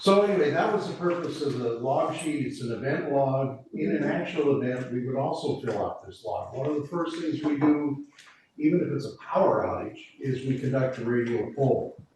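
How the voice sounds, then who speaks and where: A man talks at a moderate pace with a fairly high pitch and ordinary pitch variation. Noticeable background noise and audible room echo fill the recording. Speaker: emergency preparedness volunteer. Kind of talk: committee meeting briefing. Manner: loud.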